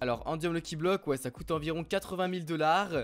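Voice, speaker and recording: A man with a high pitch, at a moderate pace. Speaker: gaming youtuber. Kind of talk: gameplay commentary. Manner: animated.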